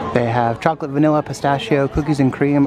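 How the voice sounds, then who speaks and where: A man's voice with ordinary pitch variation, audible room echo and crowd noise in the background. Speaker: theme park vlogger. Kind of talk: casual vlog narration. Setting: outdoors. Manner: casual, chatty.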